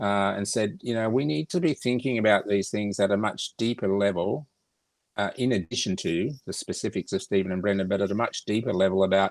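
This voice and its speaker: Recorded very cleanly against a silent background, with a dry, close sound and no echo, a man speaks at a fairly quick pace in a fairly low voice with ordinary pitch variation. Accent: Australian. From Australia. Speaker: foundation organizer. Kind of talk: casual interview. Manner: halting.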